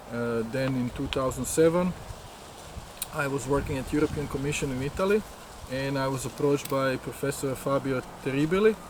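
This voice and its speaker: With a Croatian accent, a man speaks at a fairly quick pace and fairly high pitch, with ordinary pitch variation, long, frequent pauses and noticeable background noise. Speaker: scientist and course organizer. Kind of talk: interview. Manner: halting.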